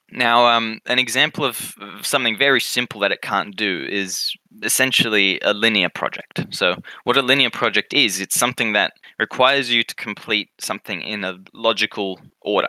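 Someone with an Australian accent speaks at a moderate pace in a bright, sharp tone, the sound dry and close with no echo in a very clean recording with a silent background. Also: man, medium pitch for a man, ordinary pitch variation. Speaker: podcast co-host. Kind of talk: casual chat.

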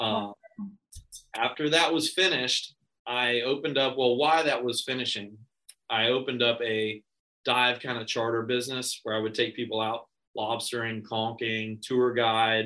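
His bright, sharp tone sits at medium pitch for a man, with fairly even intonation and a moderate pace. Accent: American. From Florida. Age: 30s. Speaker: real estate agent. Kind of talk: interview. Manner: hesitant, many fillers.

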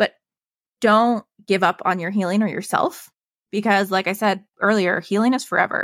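In a very clean recording with a silent background and a dry, close sound with no echo, a woman with a General American accent uses an ordinary speaking voice at a medium pitch, a moderate pace and fairly even intonation. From Colorado. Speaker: health and wellness coach. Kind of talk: interview testimony.

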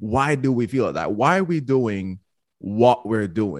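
A man with a Jamaican accent, at a medium pitch and moderate pace, with lively intonation, in a dry, close sound with no echo and a quiet background. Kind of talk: casual chat.

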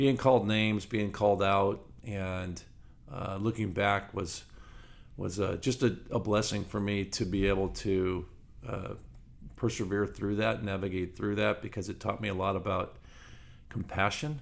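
A man with an American accent talks at a moderate pace in a fairly low pitch. His intonation is fairly even, broken by long, frequent pauses. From Southern California. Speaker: former pro baseball player, business owner. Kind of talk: podcast interview.

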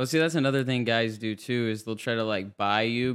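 A man's plain, everyday voice at a medium pitch, on a very clean recording with a silent background. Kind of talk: casual chat.

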